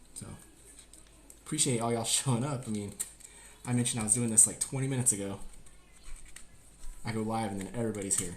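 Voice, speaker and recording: With an American accent and fairly even intonation, a man speaks at a very fast pace yet leaves long, frequent pauses, in a room with audible echo. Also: medium pitch for a man. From US South, Georgia. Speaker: cooking streamer, Marine veteran. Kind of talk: live-streamed cooking tutorial. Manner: louder after viewer request; usually soft-spoken.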